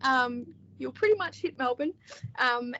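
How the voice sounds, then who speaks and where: A woman with an Australian accent. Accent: Australian, moderate. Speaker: author and book editor. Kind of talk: interview.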